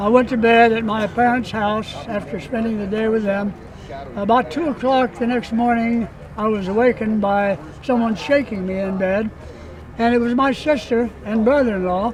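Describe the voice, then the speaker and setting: Fairly even intonation at a moderate pace over noticeable background noise. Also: man, high pitch for a man. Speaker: WWII veteran pilot. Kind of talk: interview. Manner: halting, many fillers.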